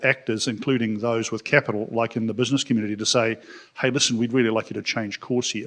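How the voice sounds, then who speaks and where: In a New Zealand accent, a man talks at a very fast pace. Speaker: business community leader, audience questioner. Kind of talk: audience question at panel. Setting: conference room with audience, live stream.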